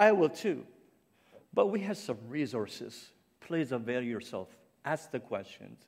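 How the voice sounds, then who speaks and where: A man with vocal fry and a fairly high pitch talks at a fairly slow pace, his pitch swinging very widely between long, frequent pauses. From Cape Breton Island, Canada. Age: 50s. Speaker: ministry founder and guest speaker. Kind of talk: sermon. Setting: church stage with audience. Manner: halting, with many fillers.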